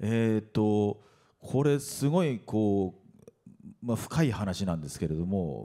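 A man speaks very slowly, his pitch fairly low and his tone dark and mellow. The background is quiet. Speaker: voice actor. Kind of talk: panel talk at press event. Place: hall. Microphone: handheld.

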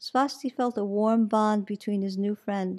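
The reading aloud is plain, its intonation fairly even.

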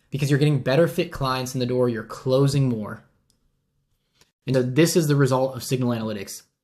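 With a slightly mellow tone and ordinary pitch variation, the speech moves at a fairly quick pace on a very clean recording with a silent background. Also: man.

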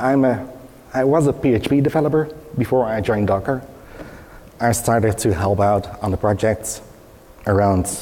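A man speaks at a fairly slow pace, his fairly low pitch moving with ordinary variation. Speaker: open source project maintainer; conference presenter. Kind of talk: conference presentation. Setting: stage with audience. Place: hall.

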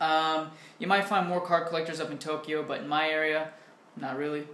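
A man talks at a fairly quick pace with fairly even intonation, his voice carrying audible room echo over light background noise. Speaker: vlogger answering viewer questions. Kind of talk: casual vlog chat. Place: home room. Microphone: webcam.

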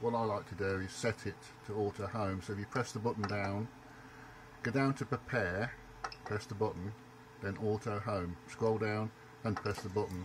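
A man speaks at a moderate pace in a fairly low pitch with fairly even intonation. Long, frequent pauses break his speech over noticeable background noise. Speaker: hobbyist channel host. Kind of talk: tutorial. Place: home room. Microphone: phone near.

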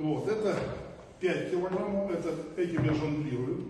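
Amid strong room echo and noticeable background noise, a man talks at a moderate pace with ordinary pitch variation. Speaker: trainer. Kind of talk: tutorial. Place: gym. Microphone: camera far.

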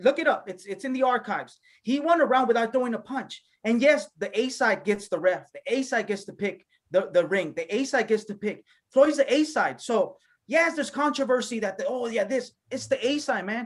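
The speech moves at a fairly quick pace with a quiet background. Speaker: podcast panelist. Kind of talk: commentary. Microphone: video call.

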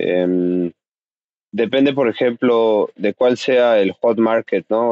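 The man's pitch is medium, with fairly even intonation. The sound is dry with no echo, over a quiet background. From Mexico City. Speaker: cannabis grower; podcast guest. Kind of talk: casual interview. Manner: halting. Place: home room.

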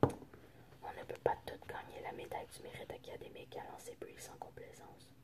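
Fairly slow whispering from a woman. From French Canadian. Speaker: ASMR creator. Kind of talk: ASMR book reading. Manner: whispered. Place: home room. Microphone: phone near.

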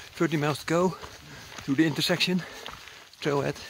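A man talks at a fairly quick pace in a dry sound with no echo, with noticeable background noise behind him. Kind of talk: casual vlog chat. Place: open country. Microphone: phone near.

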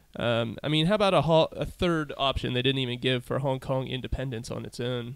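An unremarkable speaking voice at a fairly quick pace with ordinary pitch variation. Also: man, medium pitch for a man. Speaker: podcast host. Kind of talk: casual interview and event rundown. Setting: comedy club venue.

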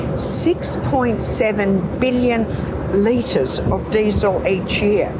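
A woman speaks over loud background noise. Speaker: government minister at an event. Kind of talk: interview answer. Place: open country.

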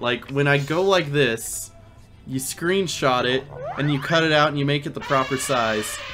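With music playing in the background, a man speaks at a moderate pace with ordinary pitch variation. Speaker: game streamer. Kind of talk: casual stream chat.

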